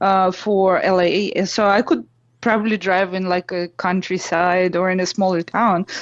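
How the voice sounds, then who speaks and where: A woman with a Russian accent speaks at a medium pitch in a monotone, flat intonation. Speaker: blogger, storyteller. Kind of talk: casual storytelling. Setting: phone call.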